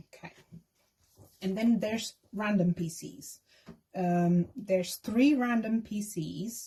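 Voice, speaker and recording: Somewhat breathy and dark, mellow in tone, a woman with a non-native accent and medium pitch talks at a very slow pace with long, frequent pauses, big swings in loudness and ordinary pitch variation. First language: not English. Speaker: K-pop fan vlogger. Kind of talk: casual tutorial. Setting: at home desk.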